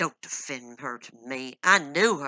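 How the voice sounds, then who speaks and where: Someone performs a put-on character voice in a low-to-middle pitch. The pace is fairly slow. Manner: harsh.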